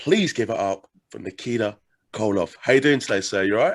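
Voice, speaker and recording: A man with an English accent talks at a fairly quick pace and medium pitch. His pitch varies in an ordinary way over a quiet background. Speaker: podcast host. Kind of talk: interview.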